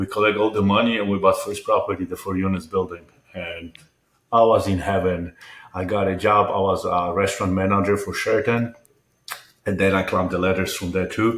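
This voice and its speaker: A man with a Polish accent talks at a fairly quick pace in a fairly low pitch with monotone, flat intonation. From Poland. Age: 50s. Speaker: entrepreneur and mental health advocate. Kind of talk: interview.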